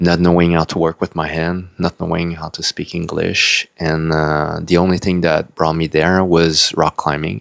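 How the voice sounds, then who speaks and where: A man's very deep, low voice with a non-native accent, monotone and flat at a moderate pace. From Quebec, Canada (French-speaking). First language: French. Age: 40s. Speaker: spiritual video blogger. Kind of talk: personal life story monologue. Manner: hesitant, with fillers.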